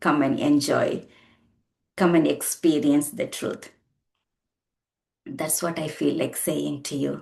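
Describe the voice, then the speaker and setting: A woman speaks at a fairly slow pace in a Tamil accent. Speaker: spiritual teacher. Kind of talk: spiritual talk. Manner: halting.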